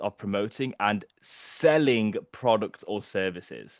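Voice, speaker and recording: A man with a medium pitch speaks in an animated tone with lively intonation, the sound dry and close with no echo over a quiet background. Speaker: marketing coach. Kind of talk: workshop presentation.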